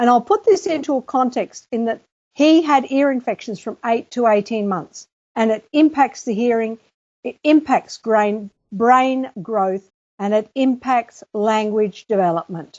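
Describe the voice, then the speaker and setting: A woman with a plain, everyday voice talks at a fairly slow pace, her pitch fairly high and her intonation lively. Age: 60s. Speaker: author and teacher. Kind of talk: interview.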